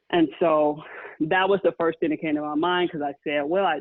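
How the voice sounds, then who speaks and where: With a plain, everyday voice, a woman talks at a fairly quick pace in a fairly low pitch with ordinary pitch variation. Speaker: friend responding to the story. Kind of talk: personal testimony.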